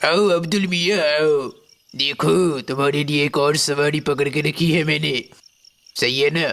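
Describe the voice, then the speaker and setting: A man uses a put-on character voice at a fairly high pitch, speaking at a moderate pace. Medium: read story. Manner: deadpan.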